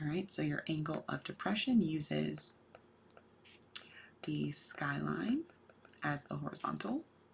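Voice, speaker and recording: Soft-spoken, the speaker moves at a fairly slow pace with long, frequent pauses. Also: woman. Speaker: math teacher. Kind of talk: lecture.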